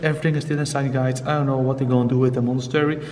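A man is speaking. There is light background noise behind him. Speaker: urban explorer vlogger. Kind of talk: casual vlog chat. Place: church. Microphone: phone near.

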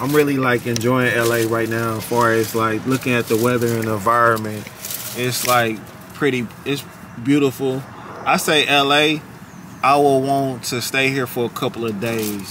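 A man at a moderate pace with fairly even intonation, dry sound with no echo, and noticeable background noise. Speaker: travel vlogger. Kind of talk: casual vlog chat. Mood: relaxed, cheerful. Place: car. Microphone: phone near.

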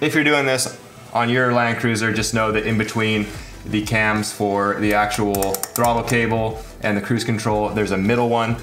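This man talks at a moderate pace in a flat monotone. Light background noise sits behind him. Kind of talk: tutorial.

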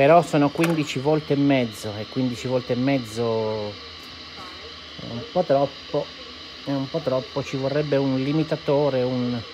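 The voice moves at a fairly slow pace with fairly even intonation. Clear background noise is present. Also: man, medium pitch for a man.

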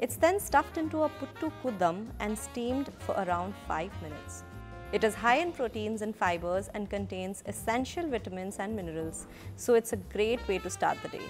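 A woman speaks at a moderate pace while music plays in the background. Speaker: cooking narrator. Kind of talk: documentary narration.

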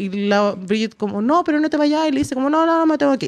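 Against a quiet background, a woman's voice moves in very wide pitch swings. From Chile. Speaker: podcast host. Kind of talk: casual chat. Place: studio. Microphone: studio mic.

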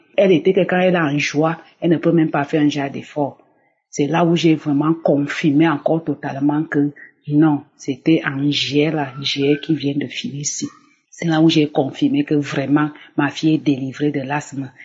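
A woman speaks with a very deep, low pitch and a somewhat breathy quality. Her intonation stays monotone and flat. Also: moderate pace. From Cameroon. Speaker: church member giving testimony. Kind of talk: testimony.

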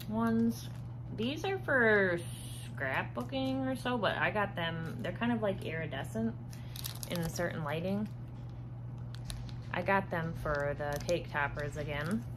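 Over noticeable background noise, a woman with a very deep, low pitch speaks at a fairly slow pace with long, frequent pauses. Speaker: haul vlogger. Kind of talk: casual vlog chat. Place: home room. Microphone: phone near.

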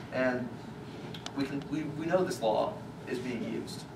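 A man with ordinary pitch variation over noticeable background noise. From Louisiana. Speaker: activist. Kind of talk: public talk. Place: hall.

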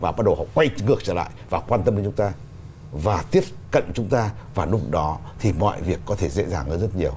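Very wide pitch swings mark this man's speech at a fairly quick pace. Light background noise sits behind him. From Vietnam. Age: 60s. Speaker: poet and writers' association leader; poet. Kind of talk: studio interview. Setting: studio. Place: studio.

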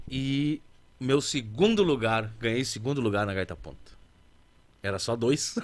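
Ordinary pitch variation from a man talking at a fairly slow pace. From Alegrete, Rio Grande do Sul, Brazil; Rio Grande do Sul, Brazil. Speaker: musician (accordion player and singer); guest. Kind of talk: casual interview chat. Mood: relaxed, laughing at times. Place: studio. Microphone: studio mic.

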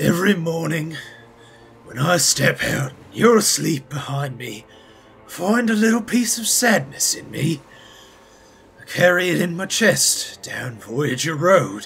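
Speaking at a fairly slow pace, a man with a high voice swings very widely in pitch and greatly in loudness, leaving long, frequent pauses. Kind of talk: dramatic reading of a love letter. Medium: audio drama. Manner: pleading, desperate.

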